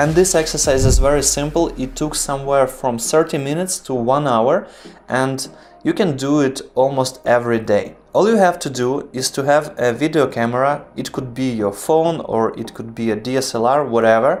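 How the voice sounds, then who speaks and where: A man speaks with a non-native accent and a fairly high pitch. Music plays in the background. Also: ordinary pitch variation, moderate pace. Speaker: video production tutor. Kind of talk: tutorial. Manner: halting, pauses to find words.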